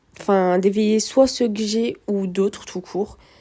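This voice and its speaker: At a fairly slow pace, a woman with a medium-pitched voice speaks in a fairly even intonation. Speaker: gaming youtuber. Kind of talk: gameplay commentary. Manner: hesitant, many fillers.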